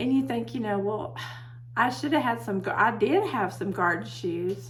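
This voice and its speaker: A loud woman of medium pitch is heard with audible room echo and noticeable background noise. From Texas. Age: 60s. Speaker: herbalist video host. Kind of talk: casual talk to camera. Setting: home office.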